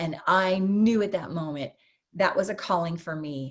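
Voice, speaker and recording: A woman speaks with a normal speaking voice at a fairly low pitch. Her pace is moderate and her pitch variation ordinary. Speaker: network marketer. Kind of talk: testimony.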